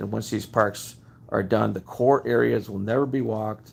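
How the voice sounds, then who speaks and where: A man speaks in a plain, everyday voice, pitched fairly low. His pitch varies in the usual way, and his pace is moderate. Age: 60s. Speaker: home inspector and video blogger. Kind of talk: casual monologue. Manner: conversational, with many fillers.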